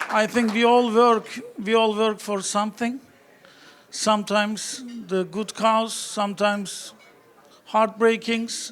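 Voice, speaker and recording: A man with a strong Turkish accent and a high pitch speaks in a monotone, flat intonation at a very slow pace, with long, frequent pauses and noticeable background noise. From Turkey. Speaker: real estate broker, award winner. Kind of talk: award acceptance speech.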